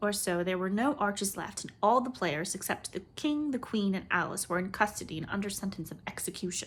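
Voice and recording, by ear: In a natural voice, a speaker reads a text aloud, letting the pitch vary in an ordinary way.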